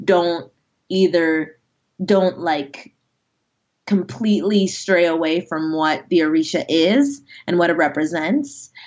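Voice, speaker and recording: A woman speaks with an unremarkable speaking voice at medium pitch. Her intonation is lively. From US, Nigerian immigrant family. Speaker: fantasy author. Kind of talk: interview.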